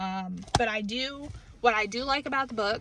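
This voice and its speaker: A woman speaks in a northern US accent. Her tone is bright and sharp, and her pace is moderate. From New England, US. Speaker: book reviewer. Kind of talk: casual vlog review. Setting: in a car. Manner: casual, many fillers.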